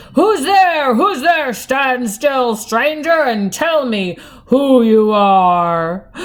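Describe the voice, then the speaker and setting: In a put-on character voice, the speaker talks at a very slow pace with a fairly high pitch. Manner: menacing, demanding.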